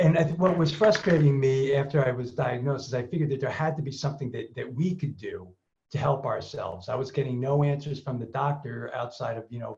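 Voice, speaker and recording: Pitched fairly high, a man speaks at a fairly quick pace with vocal fry. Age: 60s. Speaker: Parkinson's patient ambassador. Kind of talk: panel discussion, personal introduction. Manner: halting, many fillers.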